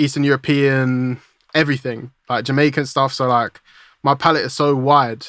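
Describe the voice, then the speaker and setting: In a very clean recording with a silent background, a man speaks with a British accent at a medium pitch. His intonation is monotone and flat, and his pace is moderate. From UK. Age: 20s. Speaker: music producer. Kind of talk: casual interview chat. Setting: podcast interview.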